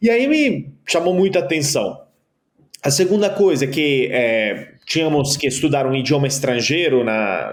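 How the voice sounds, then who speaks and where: His pitch fairly high, a man with an Italian accent talks with lively intonation. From Italy. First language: Italian (speaking Portuguese). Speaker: keynote speaker and author. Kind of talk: podcast interview. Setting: podcast.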